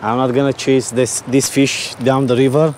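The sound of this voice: A man speaks at a moderate pace in a medium pitch with little pitch movement and a slightly mellow tone, over faint background noise.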